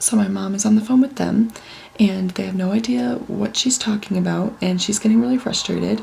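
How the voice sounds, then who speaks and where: Through noticeable background noise, a woman with an American accent talks fairly quickly at a medium pitch with lively intonation. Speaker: vlogger. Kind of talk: casual vlog talk to camera. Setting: condo room at night. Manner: soft-spoken, hushed.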